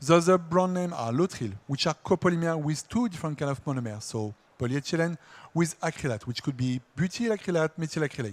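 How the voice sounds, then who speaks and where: With a French accent, a man talks at a moderate pace and fairly high pitch, his intonation lively. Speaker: industry R&D engineer. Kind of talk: conference presentation.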